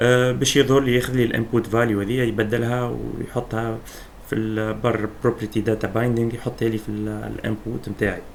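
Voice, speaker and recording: A man with a Tunisian accent in a flat monotone, with hardly any pauses. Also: medium pitch for a man, moderate pace. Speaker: programming instructor. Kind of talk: screen-recorded coding tutorial.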